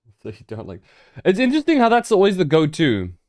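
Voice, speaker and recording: A man is speaking. Music plays in the background. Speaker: video game streamer. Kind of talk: live gameplay stream chat. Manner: mellow, careful speaking.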